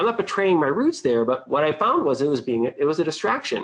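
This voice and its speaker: Here is a man with an American accent. He talks at a fairly quick pace with a fairly high pitch. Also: quiet background. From Boston, US. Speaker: webinar presenter, financial services marketer. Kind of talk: webinar presentation. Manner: casual, many fillers.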